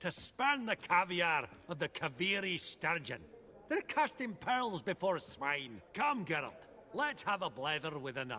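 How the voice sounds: A man's put-on character voice, fairly high in pitch, with big pitch swings, a bright, sharp tone, a fairly slow pace and few pauses.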